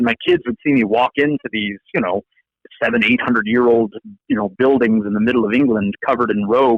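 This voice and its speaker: In an American accent, a man talks at a medium pitch with ordinary pitch variation. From Arizona (Yuma, Gilbert). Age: 40s. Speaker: law professor. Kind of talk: interview. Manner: hesitant repetitions.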